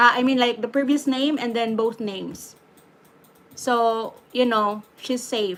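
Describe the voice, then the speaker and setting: This woman has a fairly high pitch and a Filipino accent. Her intonation stays fairly even at a fairly slow pace. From Philippines. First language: Tagalog or Bisaya. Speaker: YouTube live streamer. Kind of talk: live stream Q&A. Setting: YouTube live stream. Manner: hesitant, many fillers.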